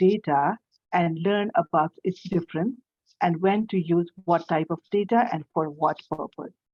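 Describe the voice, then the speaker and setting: This woman speaks at a medium pitch with ordinary pitch variation. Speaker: trainer. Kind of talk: lecture. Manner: slow.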